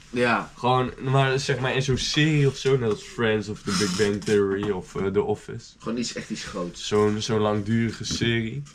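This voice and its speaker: A man at a moderate pace with hardly any pauses, over noticeable background noise. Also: medium pitch for a man, ordinary pitch variation. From Zeeland, Netherlands. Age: 19. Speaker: student teacher. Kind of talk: casual chat.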